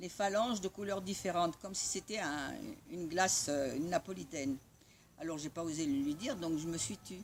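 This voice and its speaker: Her pitch fairly low and its variation ordinary, a woman speaks at a moderate pace. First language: Italian (speaking French). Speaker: spiritual community member sharing memories. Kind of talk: personal storytelling. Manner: halting.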